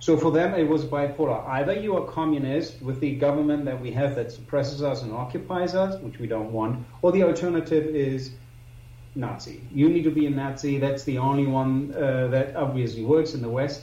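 With a German accent, a man talks at a fairly quick pace in a fairly high pitch, with ordinary pitch variation. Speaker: publisher and historical researcher. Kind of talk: interview. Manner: halting.

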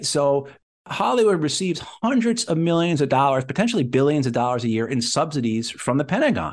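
A man's fairly high-pitched, normal speaking voice at a fairly quick pace, with lively intonation and very even loudness. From New Jersey / New York area. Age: 40s. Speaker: Marine veteran and antiwar advocate. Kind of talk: interview conversation.

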